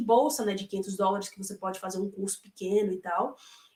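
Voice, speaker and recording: A woman speaks. Her pitch sits in the medium range. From Brazil, Salvador, Bahia (Northeast). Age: 30s. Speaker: former au pair, interviewee. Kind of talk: interview. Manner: hesitant, many fillers.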